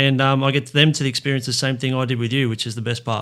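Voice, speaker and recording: With an Australian accent, a man speaks at a very fast pace and medium pitch in a bright, sharp tone, on a very clean recording with a silent background. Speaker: junior baseball association vice president. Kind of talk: casual chat.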